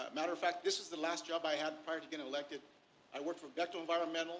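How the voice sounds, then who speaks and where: Speaking with an American accent, this man has a fairly high-pitched voice. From Inland Empire, Southern California. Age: 60s. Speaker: union labor leader. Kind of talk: public comment at board meeting. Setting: public board meeting. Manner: halting, many fillers.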